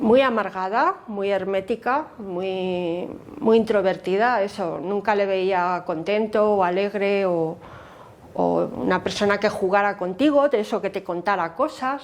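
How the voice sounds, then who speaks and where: Pitch moves with ordinary variation. The delivery is fairly slow. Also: woman, medium pitch for a woman. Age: 60s. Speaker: memory activist. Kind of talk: interview testimony. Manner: hesitant, many fillers.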